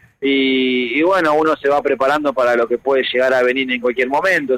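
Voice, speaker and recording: The sound of this man's voice is dry and close, with no echo. He talks at a fairly quick pace over noticeable background noise. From Argentina, Buenos Aires (Saavedra). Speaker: professional footballer. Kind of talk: phone interview. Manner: halting, many repetitions.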